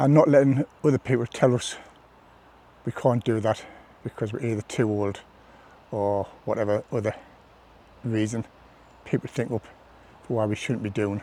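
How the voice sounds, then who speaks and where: A man with a British accent speaks at a moderate pace with fairly even intonation. His dark, mellow tone sounds dry and close, with no echo. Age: 60s. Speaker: hiker and former Royal Marine. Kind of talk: casual talk to camera.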